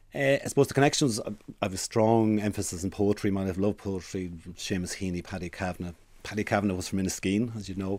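The recording is very clean, with a silent background. A man talks at a very fast pace in a fairly low pitch. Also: ordinary pitch variation. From Ireland, Dundalk (County Louth). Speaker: university president and scientist. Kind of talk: interview. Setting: radio studio.

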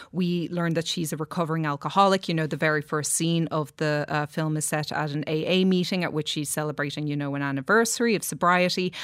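A woman with an Irish accent talks at a very fast pace in a very deep, low pitch. Her intonation is fairly even, and the recording is very clean with a silent background. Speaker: film critic. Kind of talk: studio discussion. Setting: studio.

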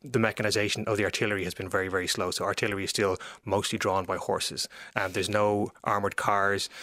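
A man with an Irish accent talks at a very fast pace, his fairly low pitch held in a monotone, flat intonation. His tone is bright and sharp, and the recording is very clean with a silent background. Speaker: historian and author. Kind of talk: interview about history. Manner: repeats words often.

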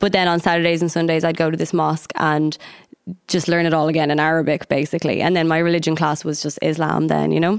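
Talking at a very fast pace, a woman with an Irish accent speaks in a very deep, low voice with monotone, flat intonation. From County Meath, Ireland. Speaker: singer. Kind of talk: casual chat.

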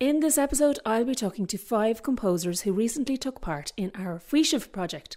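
Speaking at a fairly quick pace with lively intonation, a woman with an Irish accent and a fairly high pitch comes through on a very clean recording with a silent background. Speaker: radio presenter. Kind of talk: scripted introductions and interview.

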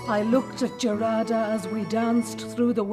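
A passage is read aloud. The reader uses a natural voice.

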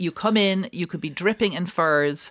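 A woman speaks with an Irish accent. The recording is very clean, with a silent background and a dry, close sound with no echo. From Ireland. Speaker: restaurant owner. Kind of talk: radio interview. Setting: studio.

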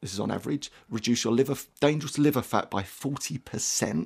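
A man with a London accent, on a very clean recording over a silent background. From southeast London. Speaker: performance coach. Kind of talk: radio interview. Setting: studio.

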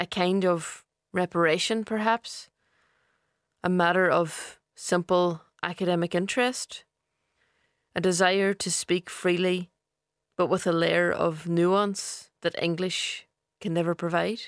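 A woman with a Donegal accent at a fairly low pitch, fairly slow and flat in a monotone, with long, frequent pauses, in a dry, close recording with no echo over a quiet background. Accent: Donegal Irish. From Ireland, East Donegal. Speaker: poet. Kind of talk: reading aloud a personal essay.

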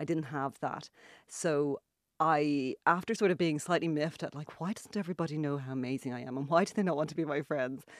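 Fairly quick and with an Irish accent, a woman speaks at a very deep, low pitch with ordinary pitch variation, in a very clean, dry, close recording with no echo and a silent background. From Ireland. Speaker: author and journalist. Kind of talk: radio interview. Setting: radio studio.

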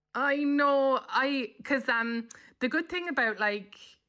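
This woman has a bright, sharp tone and a Cork accent, heard on a very clean recording with a silent background. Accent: Cork Irish. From Cork, Ireland. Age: 40s. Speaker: comedian. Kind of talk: casual chat.

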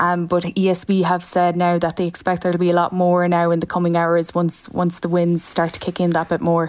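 Over noticeable background noise, a woman talks at a moderate pace in a flat monotone, her loudness very even and her speech with hardly any pauses. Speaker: reporter. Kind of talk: live phone report on storm.

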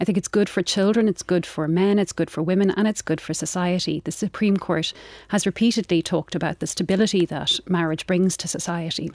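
With an Irish accent, a woman of medium pitch talks at a fairly quick pace, with hardly any pauses and fairly even intonation. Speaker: writer and former barrister. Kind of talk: debate. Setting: studio.

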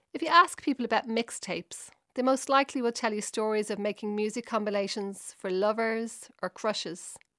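Fairly quick, high-pitched speech from a woman with a Dublin accent, bright and sharp in tone with hardly any pauses, in a very clean recording with a silent background and a dry, close sound with no echo. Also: ordinary pitch variation. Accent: Dublin Irish. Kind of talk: scripted narration.

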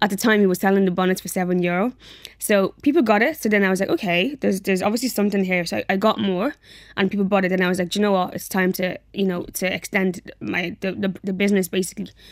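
Very fast speech in a Dublin accent comes through a very clean recording with a silent background. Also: woman. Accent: Dublin Irish. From Ireland, Dublin area (came from Nigeria aged five). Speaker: business founder and social worker. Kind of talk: radio interview.

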